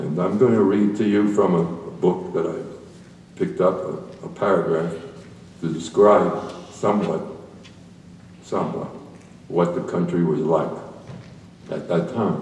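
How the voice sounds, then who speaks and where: A man talks fairly slowly with a very deep, low pitch and fairly even intonation. Long, frequent pauses and audible room echo are present. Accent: American. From New York City (Brooklyn). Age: 80s+. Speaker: war veteran. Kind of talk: presentation to school audience.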